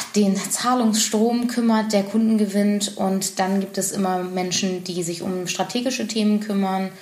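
A woman with a medium pitch talks at a moderate pace with fairly even intonation. Noticeable background noise and audible room echo surround her. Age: 30s. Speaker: business consultant and company director. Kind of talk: podcast interview.

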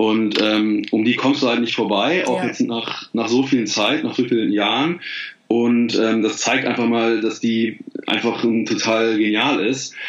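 A man talks at a fairly slow pace and medium pitch, with fairly even intonation and very even loudness. Noticeable background noise and audible room echo fill the recording. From Rhineland, Germany (Bergisch Gladbach near Cologne). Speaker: life and career coach, author. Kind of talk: casual interview. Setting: Skype call.

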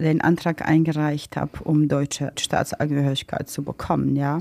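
The speaker has a Croatian accent and a dark, mellow tone. Delivery is monotone and flat, and the sound is dry and close with no echo. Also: woman. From Bosnia and Herzegovina (Mostar), Croatian. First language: Croatian (speaking German). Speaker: interviewee sharing personal story. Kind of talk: interview.

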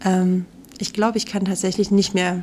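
A woman speaks at medium pitch in a dark, mellow tone. Her intonation stays monotone and flat. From Saxony, Radebeul near Dresden. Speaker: theatre costume maker. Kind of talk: interview. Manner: hesitant, many fillers.

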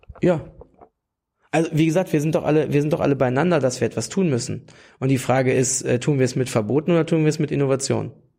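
Speaking at a very fast pace with very even loudness, a man with a fairly high pitch, ordinary pitch variation, a dark, mellow tone and vocal fry. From Lower Saxony, near Hanover. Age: 30s. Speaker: youth wing leader of a political party. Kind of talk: interview. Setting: party office.

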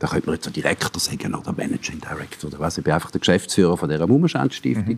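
A man with a Swiss accent and a very deep, low pitch. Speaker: cultural manager and former radio music editor. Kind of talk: interview. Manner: halting.

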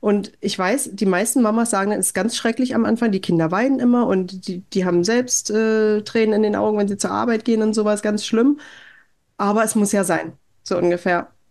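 A woman's fairly high voice at a moderate pace with fairly even intonation, on a very clean recording with a silent background. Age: 30s. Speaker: podcaster, mother living abroad. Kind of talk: interview. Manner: hesitant with filler sounds.

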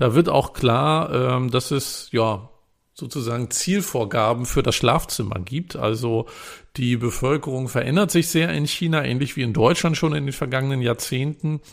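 A man with an unremarkable speaking voice talks at a moderate pace and medium pitch, with ordinary pitch variation, in a very clean recording with a silent background. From northern Germany. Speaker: podcast co-host, journalist. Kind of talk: casual chat.

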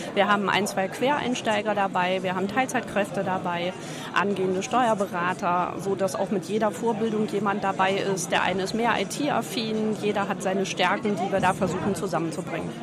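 A woman speaks at a moderate pace and a medium pitch, with crowd noise behind her and audible echo in the room. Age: 50s. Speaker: tax advisor and auditor. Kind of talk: interview. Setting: trade fair.

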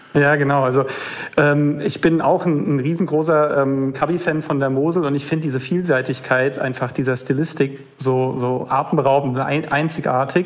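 Against noticeable background noise, a man with a fairly high pitch speaks at a moderate pace. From Rheinhessen, Germany. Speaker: winemaker. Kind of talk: casual chat. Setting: phone call.

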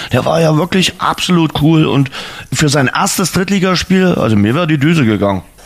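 Fairly high male voice at a fairly quick pace, with lively intonation and very even loudness. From Dresden, Saxony. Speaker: podcast host. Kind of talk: casual chat.

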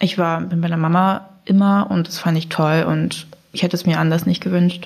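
Over noticeable background noise, a woman with a fairly low pitch speaks in a monotone, flat intonation. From Germany (Braunschweig). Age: 20s. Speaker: student, blind date participant. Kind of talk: casual chat.

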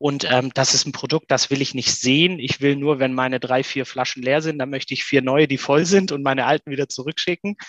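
A man with an ordinary speaking voice and a fairly high pitch talks at a fairly quick pace in a dry, close sound with no echo. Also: fairly even intonation, hardly any pauses. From Swabia, near Stuttgart. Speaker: voice app entrepreneur. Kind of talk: interview.

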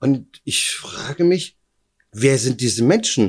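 A man talks with very wide pitch swings. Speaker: kidnapping survivor. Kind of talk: interview testimony. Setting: at his home.

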